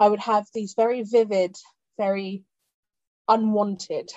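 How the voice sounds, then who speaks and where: With a British accent, a woman speaks at a medium pitch in monotone, flat intonation. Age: 30s. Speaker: podcast host. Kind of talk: casual chat.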